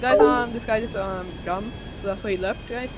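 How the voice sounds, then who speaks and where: With music in the background and audible room echo, a man talks at a high pitch with fairly even intonation. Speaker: gaming youtuber. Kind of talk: gameplay commentary. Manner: fast; halting.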